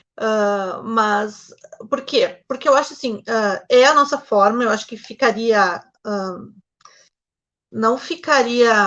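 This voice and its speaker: A woman speaks with a southern Brazilian accent. Her tone is bright and sharp. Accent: Gaúcho (southern Brazilian) Portuguese. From Rio Grande do Sul, Brazil (Novo Hamburgo). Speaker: novelist. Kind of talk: interview.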